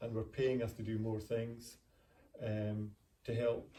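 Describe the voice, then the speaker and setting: A man's somewhat breathy voice at a medium pitch, with a dark, mellow tone. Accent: Scottish. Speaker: retired pharmacist. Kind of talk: interview.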